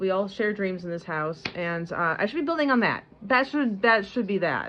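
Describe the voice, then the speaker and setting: With noticeable background noise, a woman with an American accent speaks at a moderate pace and ordinary pitch variation. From US Midwest, Michigan. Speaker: homesteading vlogger. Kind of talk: casual vlog talk to camera. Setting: at home with baby. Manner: halting, many repetitions and restarts.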